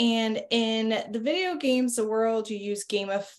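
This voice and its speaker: A woman at a fairly slow pace, with ordinary pitch variation. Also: quiet background. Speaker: marketing executive. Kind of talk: casual business interview. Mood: friendly, upbeat. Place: home room. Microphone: video call.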